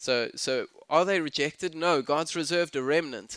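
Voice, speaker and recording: The man's voice is fairly high in pitch, with a bright, sharp tone and ordinary pitch variation. The recording is very clean with a silent background, and the sound is dry and close with no echo. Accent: South African. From South Africa. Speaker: pastor. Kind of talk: sermon. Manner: casual, halting with fillers.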